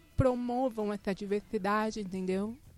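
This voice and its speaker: This woman talks at a fairly slow pace. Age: 20s. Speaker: design graduate, pedagogy student. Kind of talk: casual chat. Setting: studio.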